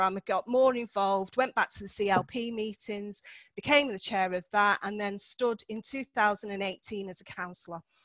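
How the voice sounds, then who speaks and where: At a moderate pace, a woman with a Manchester accent talks in a fairly high pitch. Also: dry, close sound with no echo. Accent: north Manchester. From Cheetham Hill, north Manchester, England. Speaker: local councillor. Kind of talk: seminar talk. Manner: casual, frequent filler ums.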